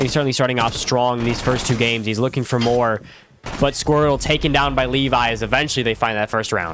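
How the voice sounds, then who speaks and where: Over music in the background, a man talks at a very fast pace in a medium pitch, with very even loudness and fairly even intonation. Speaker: esports streamer and commentator. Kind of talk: live commentary; casual chat. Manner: casual.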